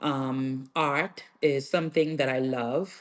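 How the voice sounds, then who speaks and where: A woman talks with a strong Bahamian accent at a very deep, low pitch. Her intonation stays fairly even. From Bahamas, Freeport, Grand Bahama. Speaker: nail artist and educator. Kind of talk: podcast interview.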